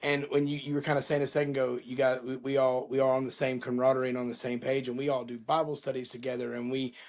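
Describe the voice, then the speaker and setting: A man is speaking here. His pace is very fast. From Florida, Panama City. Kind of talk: interview.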